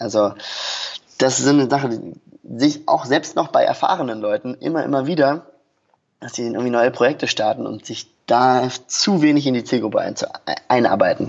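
At a moderate pace, a man of medium pitch speaks with ordinary pitch variation and long, frequent pauses. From Germany, Berlin. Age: 20s. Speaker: online marketing entrepreneur. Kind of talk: podcast interview. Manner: hesitant with many fillers.

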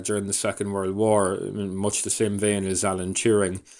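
At a moderate pace, a man speaks with a Donegal Irish accent in a fairly low voice. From Ireland, County Donegal. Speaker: radio producer and documentary maker. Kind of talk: interview. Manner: hesitant, many fillers.

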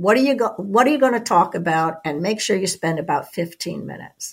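A woman talks at a moderate pace with vocal fry. Her pitch varies in an ordinary way. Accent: American. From US East Coast. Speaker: podcast co-host. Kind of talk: interview.

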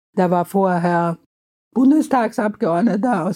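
A woman's dark, mellow voice at a fairly slow pace, with ordinary pitch variation. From Austria, Vienna. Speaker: children's book author. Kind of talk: interview.

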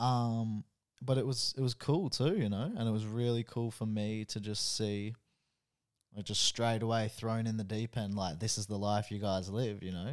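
With an Australian accent, a man speaks at medium pitch and a fairly slow pace, in fairly even intonation. The recording is very clean, with a silent background. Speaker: host's boyfriend. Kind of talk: casual chat.

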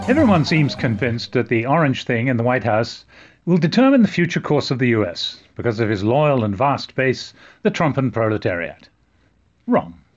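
Over a quiet background, a man at medium pitch uses lively intonation in an unremarkable speaking voice. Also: moderate pace, very even loudness. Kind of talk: satirical comedy sketch, mock-serious political impressions and disclaimers.

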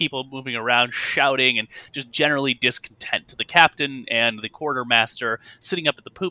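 The clip features an unforced reading voice whose pitch varies in an ordinary way.

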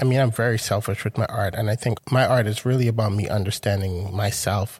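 A man with an American accent speaks at a moderate pace in a fairly low, somewhat breathy voice with fairly even intonation. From Grenada and Brooklyn, New York. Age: 40s. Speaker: artist. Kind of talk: interview conversation.

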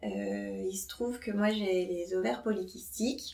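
A woman speaking at a very slow pace with ordinary pitch variation. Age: 30s. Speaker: nurse. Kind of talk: casual chat.

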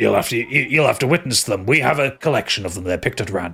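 A put-on character voice at a very fast pace, with very wide pitch swings. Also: man, medium pitch for a man. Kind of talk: ring announcer hype. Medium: actual play. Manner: projecting, showy, smooth.

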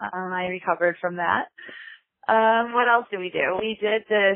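Speaking at a moderate pace with fairly even intonation, a woman with an American accent has an unremarkable speaking voice. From Chicago, US Midwest. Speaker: podcast listener leaving a voicemail. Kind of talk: voicemail message.

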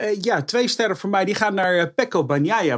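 A man talks with a high pitch and lively intonation. His pace is moderate. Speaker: motorsport pundit. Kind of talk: casual chat. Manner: halting.

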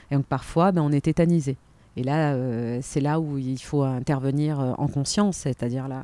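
A woman talks at a moderate pace in a very deep, low pitch with ordinary pitch variation. Her tone is dark and mellow, and the sound is dry and close with no echo. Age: 40s. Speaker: flight attendant and personal development coach. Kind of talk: interview.

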